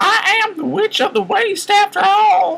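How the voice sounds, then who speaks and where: A man's put-on character voice, shrill and squeaky at an extremely high pitch, at a fairly slow pace. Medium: read story.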